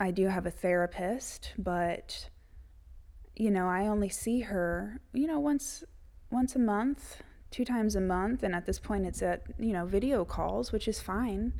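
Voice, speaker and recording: A woman with a Southern US accent has a dark, mellow tone at medium pitch, with lively intonation and a fairly slow pace. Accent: Southern US (Georgia). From Georgia, US South. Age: 30s. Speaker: podcast host. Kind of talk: personal journal monologue. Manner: emotional, close to tears.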